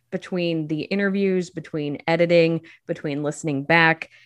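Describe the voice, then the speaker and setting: A woman with a fairly low pitch and an American accent, a plain, everyday voice, moderate pace and ordinary pitch variation, in a quiet background. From central Illinois. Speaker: podcast creator. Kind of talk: interview.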